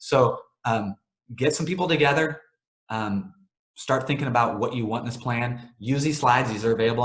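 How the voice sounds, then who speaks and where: With ordinary pitch variation, a man talks at a medium pitch and a very fast speed. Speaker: webinar presenter for a cleaning vendor. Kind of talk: webinar presentation. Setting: online webinar. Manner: casual, filler-heavy.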